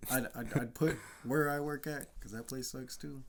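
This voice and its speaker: A man speaks quietly at a medium pitch. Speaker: car mechanic. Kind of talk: casual chat.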